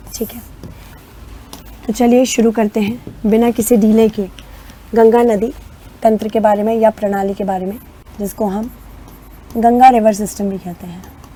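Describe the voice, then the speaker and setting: A woman's fairly high, monotone voice with flat intonation, a fairly slow pace and long, frequent pauses, against noticeable background noise. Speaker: online exam-prep teacher. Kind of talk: lecture.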